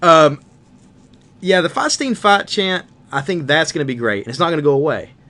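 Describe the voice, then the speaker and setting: A man with a Southern US accent speaks at a fairly quick pace and fairly high pitch, his tone bright and sharp and his intonation lively, with long, frequent pauses. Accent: southern twang. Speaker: wrestling podcast co-host. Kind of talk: casual chat.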